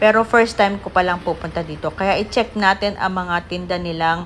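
In an ordinary speaking voice, a woman at a medium pitch talks at a moderate pace with fairly even intonation. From Philippines. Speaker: vlogger. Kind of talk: casual vlog narration.

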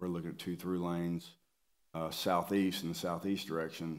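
A man talks with a very deep, low pitch. His intonation is monotone and flat. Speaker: presenter. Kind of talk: meeting presentation. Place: meeting room. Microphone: podium.

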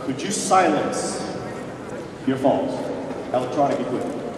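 A man's medium-pitched voice with lively intonation, audible room echo and clear background noise.

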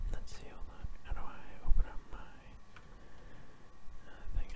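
A man is whispering while noticeable background noise runs underneath. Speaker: ASMR gaming YouTuber. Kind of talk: casual talk to camera. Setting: home recording with keyboard sounds.

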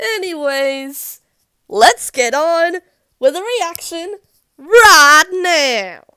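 Using a raised, projected voice, a woman speaks at an extremely high pitch and a very slow pace. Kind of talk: casual reaction commentary.

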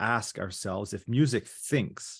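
There is ordinary pitch variation as a man speaks. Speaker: presenter. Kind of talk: academic paper presentation. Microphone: video call.

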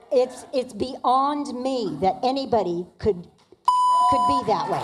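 Over noticeable background noise, a woman speaks very slowly in a high pitch. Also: lively intonation. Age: 80s+. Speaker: public commenter. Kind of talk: public comment at council meeting. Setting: city council meeting. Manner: emphatic.

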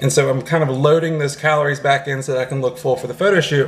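A man speaks with ordinary pitch variation against light background noise. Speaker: fitness vlogger. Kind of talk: casual vlog chat. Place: home room. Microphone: phone near.

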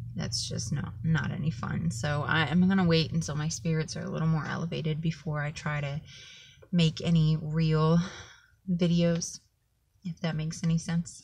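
A woman speaks at a moderate pace with a somewhat breathy voice. Her pitch is very deep and low, and her intonation stays fairly even. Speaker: vlogger. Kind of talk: personal vlog update. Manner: monotone. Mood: low, subdued, heartfelt. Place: car. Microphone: phone near.

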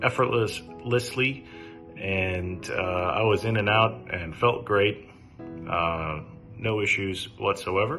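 Very slow speech from a man at fairly low pitch, with ordinary pitch variation and clear music in the background. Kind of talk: testimonial. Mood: calm, grateful. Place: home room. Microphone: phone near.

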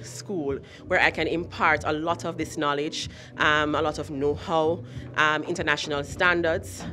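Faint background music behind a woman's very deep, low voice at a moderate pace. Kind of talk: interview answer. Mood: proud, earnest. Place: hall. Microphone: handheld.

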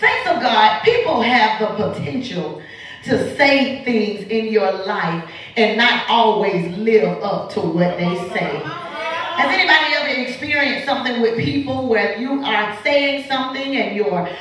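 Through strong room echo, a woman speaks at a fairly slow pace, her pitch swinging very widely. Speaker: guest preacher. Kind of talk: sermon. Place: church. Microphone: camera far.

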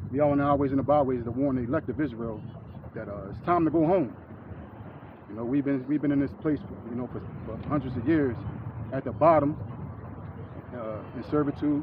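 Speaking fairly quickly in an American accent, a man of medium pitch shows ordinary pitch variation, big swings in loudness, and long, frequent pauses amid noticeable background noise. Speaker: street preacher. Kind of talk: sermon. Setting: outdoors. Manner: halting.

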